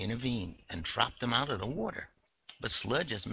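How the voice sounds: A natural reading voice with ordinary shifts in pitch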